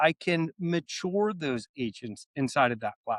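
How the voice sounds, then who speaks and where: A man with a Philadelphia accent speaks at a fairly high pitch and a moderate pace. The sound is dry and close with no echo, on a very clean recording with a silent background. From US Northeast, Philadelphia. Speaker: AI software company executive. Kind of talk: podcast interview.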